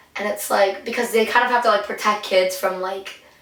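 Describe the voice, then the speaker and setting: Amid noticeable background noise and audible room echo, a woman speaks in an animated tone at a fairly high pitch with ordinary pitch variation. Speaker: podcast co-host and streamer. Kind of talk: casual chat. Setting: sitting in a bathtub. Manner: animated storytelling.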